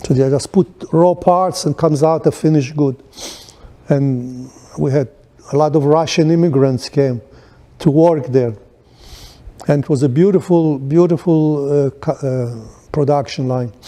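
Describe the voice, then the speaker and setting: Speaking at a fairly slow pace with long, frequent pauses, a man uses a fairly high pitch and fairly even intonation. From Poland, then Israel. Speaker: Holocaust-era refugee and businessman. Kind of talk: oral history interview. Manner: halting, many false starts.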